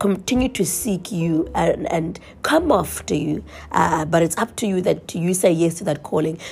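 This woman's fairly low voice has vocal fry and a dark, mellow tone. Her intonation is lively and her pace moderate. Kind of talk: devotional monologue. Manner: casual, many fillers.

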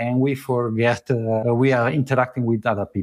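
Speaking at a moderate pace with an Italian accent, a man uses a medium pitch in a very clean recording with a silent background and a dry, close sound with no echo. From Italy. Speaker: travel photographer. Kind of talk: casual interview conversation. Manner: halting, searching for words.

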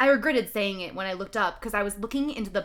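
With ordinary pitch variation, the text is read aloud in a natural voice.

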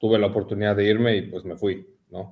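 A man with a fairly low pitch and a dark, mellow tone talks at a moderate pace. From Mexico City. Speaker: CrossFit athlete. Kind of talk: casual chat.

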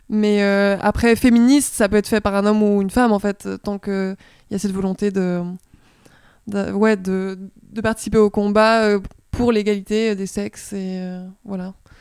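The speaker goes at a moderate pace with long, frequent pauses. The intonation is monotone and flat. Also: woman, medium pitch for a woman, very clean recording, silent background. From Switzerland, near Lausanne (Vaud). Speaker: comics student and illustrator. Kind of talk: casual interview.

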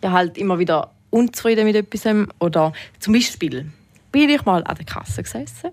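Speaking at a moderate pace, a woman with a medium pitch makes very wide pitch swings. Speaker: retail worker. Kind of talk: casual chat.

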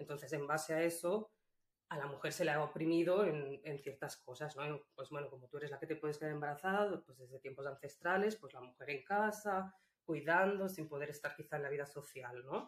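The speaker moves at a fairly quick pace, with ordinary pitch variation and big swings in loudness. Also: woman, very deep, low pitch for a woman. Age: 30s. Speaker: illustrator and feminist activist. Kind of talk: interview conversation. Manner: hesitant, with fillers.

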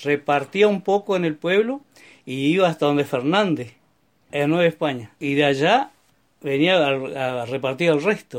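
In a very clean recording with a silent background, a man with a fairly high pitch talks at a fairly slow pace using lively intonation. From Neuquén, Argentina. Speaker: retired former milkman and farm worker. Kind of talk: life story interview. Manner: conversational, hesitant fillers.

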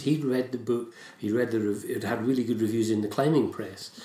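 In a Scottish accent, a man talks at a very fast pace, with audible room echo around him. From Scotland. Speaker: writer and poet. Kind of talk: casual interview chat.

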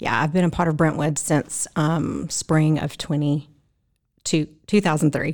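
A woman with a very deep, low pitch speaks at a fairly slow pace in a Southern US accent, her intonation monotone and flat. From South Mississippi. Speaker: church member and volunteer. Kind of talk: podcast interview.

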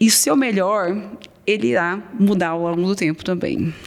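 Over noticeable background noise, a woman talks at a moderate pace. Her pitch is medium, and she has a slight Minas Gerais accent. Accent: faint Minas Gerais. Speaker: ENT doctor. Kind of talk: casual interview chat.

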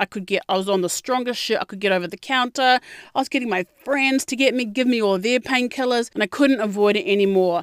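A woman with a New Zealand accent, fairly high pitch, ordinary pitch variation and an animated tone, at a very fast pace in a dry, close sound with no echo. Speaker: podcast host. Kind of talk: casual monologue.

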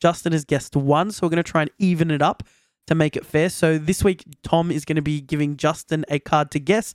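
A man with an Australian accent at a fairly quick pace and with fairly even intonation, on a very clean recording with a silent background, dry and close with no echo. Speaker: podcast host. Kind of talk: casual chat.

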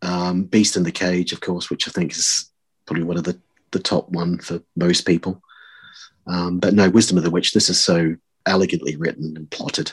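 Over a quiet background, a man with a very deep, low pitch talks at a moderate pace in a monotone, flat intonation. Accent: New Zealand. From New Zealand. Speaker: podcast guest, fan. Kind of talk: casual chat. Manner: hesitant, many fillers.

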